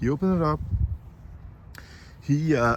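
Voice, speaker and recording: The voice is a man's, somewhat breathy. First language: Danish. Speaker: moped mechanic youtuber. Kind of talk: tutorial. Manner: halting.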